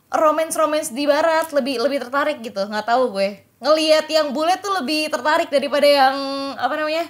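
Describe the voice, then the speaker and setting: A woman talks at a very fast pace in a high voice with ordinary pitch variation, against a quiet background. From Indonesia. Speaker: esports podcast host; esports show host. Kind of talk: casual chat. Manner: animated. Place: studio. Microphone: studio mic.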